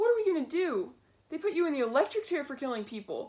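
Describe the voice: A squeaky, high-pitched put-on character voice with very wide swings in pitch. The delivery is very fast.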